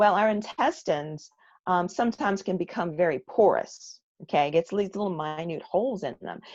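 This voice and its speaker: In a plain, everyday voice, the speech keeps a moderate pace and ordinary pitch variation over a quiet background. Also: woman. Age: 60s. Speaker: guest product presenter. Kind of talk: product training presentation.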